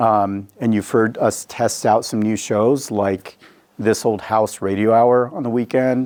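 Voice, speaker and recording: This man's voice sits at a fairly low pitch. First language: Spanish. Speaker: public radio station CEO. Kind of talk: community Q&A talk. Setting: studio event with live audience. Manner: hesitant, many fillers.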